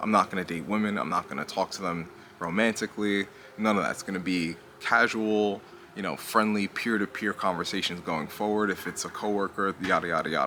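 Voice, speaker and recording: Quiet and at a fairly quick pace, a man speaks at a fairly low pitch with fairly even intonation over noticeable background noise. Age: 30s. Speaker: commentary youtuber. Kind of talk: casual monologue commentary. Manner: lowered voice, talking quietly.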